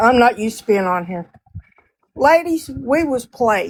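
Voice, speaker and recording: A woman's ordinary speaking voice, fairly high-pitched, at a fairly slow pace. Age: 60s. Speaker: live stream participant. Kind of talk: casual chat.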